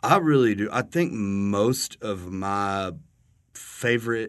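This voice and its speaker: A man speaks with a West Texas accent against a quiet background. His fairly low pitch shows ordinary variation. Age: 30s. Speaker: podcast host. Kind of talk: casual chat. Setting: studio.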